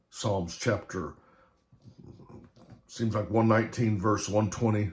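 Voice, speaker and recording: A man with a medium pitch speaks in a somewhat breathy voice. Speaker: preacher. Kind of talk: sermon. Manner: animated.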